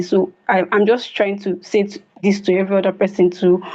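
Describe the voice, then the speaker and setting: Dark and mellow in tone, a woman talks at a moderate pace and a medium pitch. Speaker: stutter support group member. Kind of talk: testimony. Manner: stuttering.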